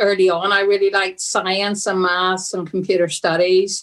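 A woman speaks at a medium pitch. She has a strong Derry accent. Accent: Northern Irish (Derry), strong. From Derry, Northern Ireland. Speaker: energy industry director and professor. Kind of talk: casual interview conversation.

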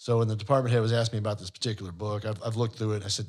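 A man talks at a medium pitch, somewhat breathy. The recording is very clean, with a silent background. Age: 60s. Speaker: financial advisor and podcast co-host. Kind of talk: casual chat. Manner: animated.

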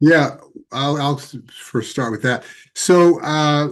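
Against a quiet background, a man with an ordinary speaking voice talks at a fairly high pitch with ordinary pitch variation. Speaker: tantra teacher and author. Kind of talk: interview.

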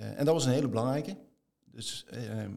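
A man speaks at a moderate pace. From Limburg, Netherlands (near Venlo). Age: 50s. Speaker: business executive. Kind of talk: interview.

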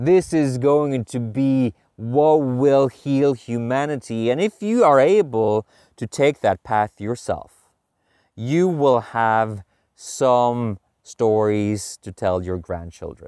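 Speaking very slowly at a medium pitch, a man uses lively intonation in a very clean recording with a silent background and a dry, close sound with no echo. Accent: Norwegian. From Norway. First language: Norwegian. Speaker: podcast host, men's coach. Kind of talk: walking monologue. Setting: outdoors.

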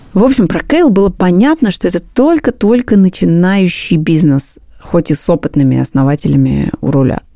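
Over noticeable background noise, a woman with a fairly low pitch and very wide pitch swings keeps her loudness very even, in a dry, close sound with no echo. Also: moderate pace. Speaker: podcast host. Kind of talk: scripted narration.

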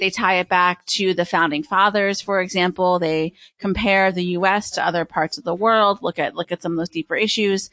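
A woman with an American accent speaks at a medium pitch in a bright, sharp tone, her intonation fairly even and hardly any pauses breaking her speech against a quiet background. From Pennsylvania. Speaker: podcast producer at a university research center. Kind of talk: interview. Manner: hesitant, many fillers.

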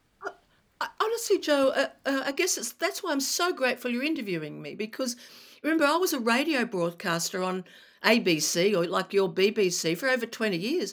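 A woman speaks in a high pitch with an Australian accent. Her pitch swings very widely. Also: fairly quick pace. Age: 60s. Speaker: retired broadcaster and cancer patient advocate. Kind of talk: interview. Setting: remote call.

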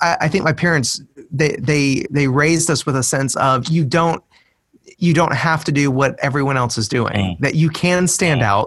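A man speaks with a plain, everyday voice at a fairly high pitch and ordinary pitch variation. His pace is moderate and his loudness very even. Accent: American. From US, Middle Tennessee. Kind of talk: interview.

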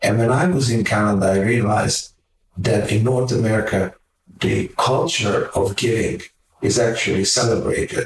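A man with a Hungarian accent, somewhat breathy, at a medium pitch and a moderate pace, with ordinary pitch variation and very even loudness. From Hungary. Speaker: magazine publisher and philanthropist. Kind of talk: interview storytelling.

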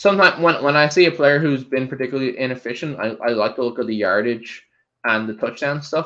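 This man talks at a moderate pace and medium pitch with an Irish accent, his tone bright and sharp and his intonation lively. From Ireland. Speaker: fantasy football podcast co-host. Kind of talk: casual chat. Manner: halting, many fillers and restarts.

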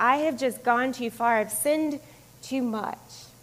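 A woman with an American accent and a high pitch, at a moderate pace with ordinary pitch variation, over noticeable background noise. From US South (Florida and Georgia). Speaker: pastor. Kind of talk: sermon. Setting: church.

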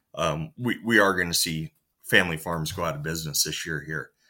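A man's very deep, low voice with a bright, sharp tone, in a very clean recording with a silent background. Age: 30s. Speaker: farmer. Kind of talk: interview.

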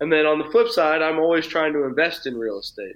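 A man's fairly high voice with an American accent at a fairly quick pace. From Texas, Round Rock. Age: 20s. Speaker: real estate entrepreneur. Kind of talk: interview. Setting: video call.

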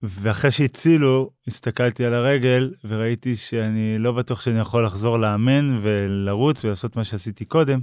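In a very clean recording with a silent background and dry, close sound with no echo, a man with a normal speaking voice talks at a moderate pace and medium pitch, with ordinary pitch variation and hardly any pauses. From northern Israel, Upper Galilee. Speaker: motivational speaker and amputee marathon runner. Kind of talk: interview telling personal story.

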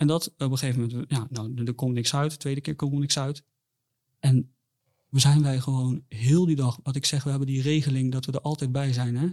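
A man's medium-pitched voice, dark and mellow in tone, monotone and flat, at a fairly quick pace. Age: 20s. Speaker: bereaved father. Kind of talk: personal testimony in interview. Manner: halting, many repetitions and fillers.

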